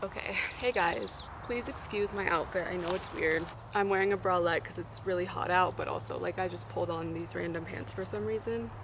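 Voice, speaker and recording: Amid noticeable background noise and audible room echo, a woman talks at a fairly quick pace in a fairly low pitch that swings very widely. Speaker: youtuber. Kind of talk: casual vlog talk.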